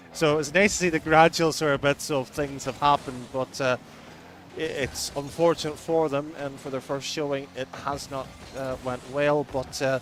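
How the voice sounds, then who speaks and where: Music plays in the background as the speaker talks with an Irish accent. The delivery is monotone and flat, at a moderate pace. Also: man, fairly high pitch for a man. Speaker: esports commentator. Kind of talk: live commentary.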